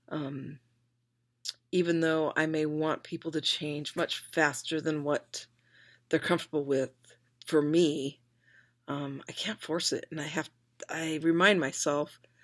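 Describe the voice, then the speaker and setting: A woman's very deep, low voice at a fairly slow pace, with fairly even intonation, in a very clean recording with a silent background. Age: 40s. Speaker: video blogger. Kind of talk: personal video diary monologue. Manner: hesitant, many filler ums.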